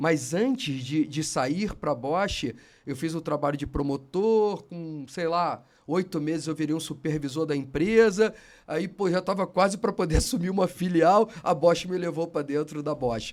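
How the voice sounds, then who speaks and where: On a very clean recording with a silent background, a man speaks fairly slowly at a fairly high pitch with ordinary pitch variation. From Brazil, Rio de Janeiro. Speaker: automotive industry executive. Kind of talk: podcast interview. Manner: animated.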